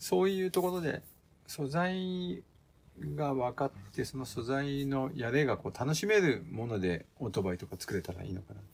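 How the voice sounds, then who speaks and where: With very wide pitch swings, a man talks at a moderate pace in a fairly high pitch. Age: 50s. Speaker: custom motorcycle builder and apparel maker. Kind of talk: casual interview. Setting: home garage workshop.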